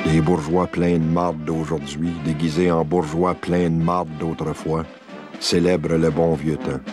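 A man's very deep, low voice, very slow and monotone, with very even loudness and music in the background. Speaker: filmmaker. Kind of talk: documentary narration. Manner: sententious.

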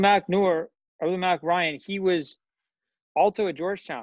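A man with an American accent speaks at a moderate pace in a high pitch, his voice dry with no echo against a quiet background. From Washington D.C. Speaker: professor of Islamic studies; podcast guest. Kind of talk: casual interview chat. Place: home room. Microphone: earbuds.

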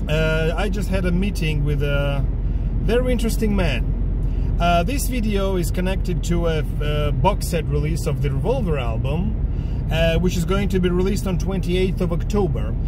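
Loud background noise fills the clip as a man talks. There is no echo, and the sound is dry. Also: moderate pace. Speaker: music collector vlogger. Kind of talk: casual vlog chat. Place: car. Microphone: phone near.

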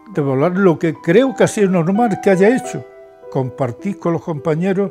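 Clear music plays behind a man whose high voice has lively intonation. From Andalusia, Spain. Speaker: retired trade unionist. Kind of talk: interview answer. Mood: grateful, humble, emotional. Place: office.

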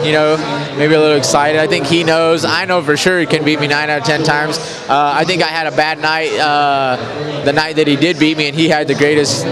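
Talking at a fairly quick pace with hardly any pauses, a man is heard in a dry sound with no echo against noticeable background noise. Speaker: interviewee. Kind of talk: interview answer. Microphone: handheld.

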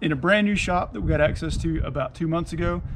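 Noticeable background noise sits behind a man who speaks very fast. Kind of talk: casual vlog chat and product demo. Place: street. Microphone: phone near.

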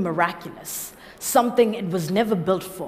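A woman speaks at a moderate pace. Her pitch shows ordinary variation. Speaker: slam poet. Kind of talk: slam poetry performance. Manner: charged, powerful. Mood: quiet, reflective near end. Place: stage. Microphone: headset.

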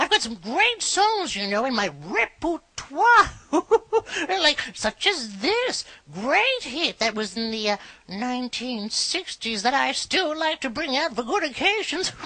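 A female-sounding voice puts on a character voice, high in pitch with very wide pitch swings. The pace is fairly slow.

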